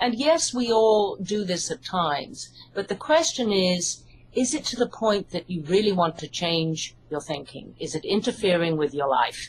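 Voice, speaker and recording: With an English accent, a woman of medium pitch talks at a moderate pace and makes very wide pitch swings. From UK. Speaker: hypnotherapist and psychologist, author. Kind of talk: interview.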